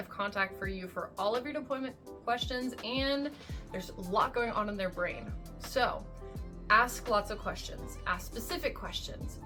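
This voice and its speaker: Over music in the background, a woman with an American accent talks at a moderate pace. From USA. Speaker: military spouse. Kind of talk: advice talk to camera.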